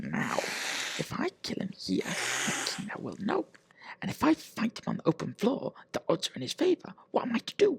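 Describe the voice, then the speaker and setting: A man puts on a character voice, pitched high, at a moderate pace. The sound is dry and close, with no echo. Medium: read story.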